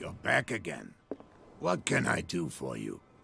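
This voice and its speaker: A man puts on a raspy character voice. He talks at a moderate pace. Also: very deep, low pitch for a man. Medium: video game.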